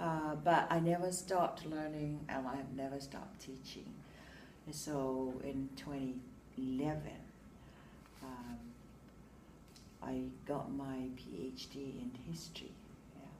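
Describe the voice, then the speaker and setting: In a room with audible echo, a woman with a very deep, low pitch speaks fairly slowly, with ordinary pitch variation, big swings in loudness and long, frequent pauses. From Samoa. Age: 60s. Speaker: teacher. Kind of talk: interview. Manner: hesitant, many fillers.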